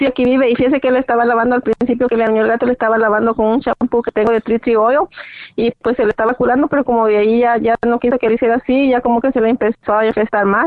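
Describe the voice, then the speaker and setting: A woman speaks very fast in a fairly high voice, her intonation flat and monotone. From Latin America. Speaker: caller. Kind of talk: phone-in question.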